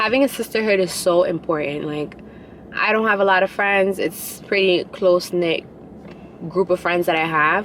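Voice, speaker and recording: Over noticeable background noise, a woman speaks with a New York accent at a moderate pace, her medium pitch varying in an ordinary way. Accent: New York City. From New York City, Queens. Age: 20s. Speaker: vlogger. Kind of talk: casual vlog talk. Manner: animated, casual.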